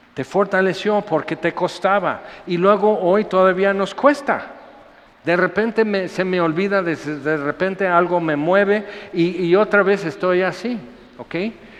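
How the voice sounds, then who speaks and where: A man with a high pitch and ordinary pitch variation talks at a fairly slow pace over noticeable background noise. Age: 60s. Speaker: pastor. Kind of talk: sermon. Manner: animated.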